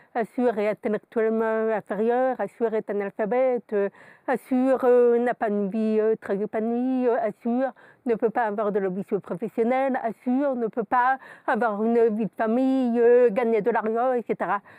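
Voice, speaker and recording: A woman speaks at a fairly slow pace with fairly high pitch and a dark, mellow tone. Her intonation is fairly even, and the sound is dry and close with no echo. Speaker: lawyer and coach. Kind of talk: interview. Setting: studio.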